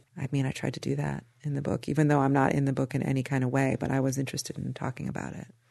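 A woman with an American accent talks at a very fast pace with hardly any pauses, her very deep, low voice carrying a dark, mellow tone, vocal fry and monotone, flat intonation. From US Midwest. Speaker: novelist. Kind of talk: interview about her book.

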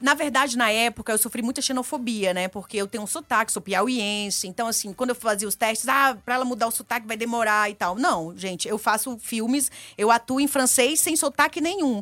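A woman speaks with a high pitch and a bright, sharp tone. The recording is very clean, with a silent background. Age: 40s. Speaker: reality show contestant and author. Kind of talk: casual interview.

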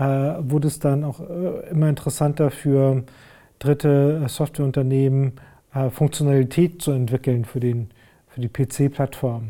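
Speaking very slowly, a man uses a fairly high pitch, fairly even intonation and a dark, mellow tone. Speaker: digital industry executive. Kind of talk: interview. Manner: halting, many fillers.

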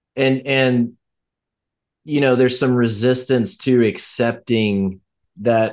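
A man speaks in a plain, everyday voice at medium pitch. His pace is fairly slow and his intonation fairly even. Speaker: podcast co-host. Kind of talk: casual chat.

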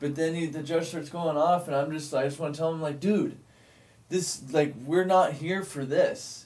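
In a normal speaking voice, a man talks at a moderate pace with fairly high pitch and fairly even intonation. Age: 30s. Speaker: guest in addiction recovery. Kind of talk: casual chat.

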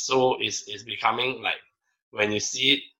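A man speaks at a medium pitch and a fairly slow pace. His bright, sharp tone carries ordinary pitch variation. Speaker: swim coach. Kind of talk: casual chat. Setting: video call.

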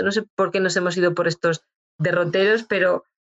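A woman with fairly even intonation and a medium pitch talks in an unremarkable speaking voice. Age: 40s. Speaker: clinical psychologist. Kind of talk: interview.

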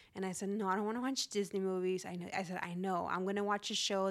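Someone with a Spanish accent speaks at a fairly quick pace with fairly even intonation, on a very clean recording with a silent background. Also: woman. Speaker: podcast host, financial educator. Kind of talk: solo podcast monologue. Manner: casual, conversational.

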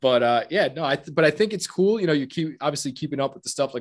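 A man speaks here. His pace is very fast. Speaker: watch podcast host. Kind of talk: casual chat.

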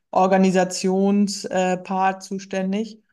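A woman's voice sits at a medium pitch with a dark, mellow tone. The background is quiet. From rural Germany. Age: 30s. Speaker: firefighter and amateur marathon runner. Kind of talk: interview.

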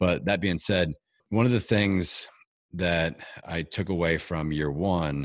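An enthusiastic tone at a fairly slow pace, with ordinary pitch variation, on a very clean recording with a silent background. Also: man. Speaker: fitness event promoter and speaker. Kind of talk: casual interview chat.

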